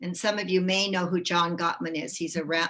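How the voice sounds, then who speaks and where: Her tone is bright and sharp, and this woman speaks at a fairly low pitch with fairly even intonation. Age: 70s. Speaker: author and former childbirth educator. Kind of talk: presentation to a group.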